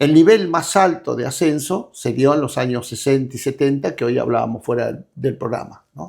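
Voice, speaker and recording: In a very clean recording with a silent background, a man speaks fairly slowly at a fairly high pitch, with vocal fry and ordinary pitch variation. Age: 70s. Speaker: political activist leader. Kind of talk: interview. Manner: halting.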